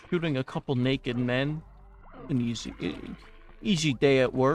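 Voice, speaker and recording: Music plays behind a man speaking at a medium pitch and a moderate pace, with ordinary pitch variation. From US East Coast. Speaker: video game streamer. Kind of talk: gameplay commentary. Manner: halting, many repetitions.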